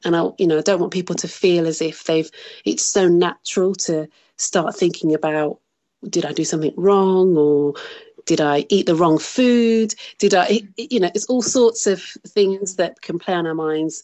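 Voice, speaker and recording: Speaking with a Birmingham accent at a moderate pace, a woman has a fairly low pitch and ordinary pitch variation. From Birmingham, England. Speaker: bereaved mother. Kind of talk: interview.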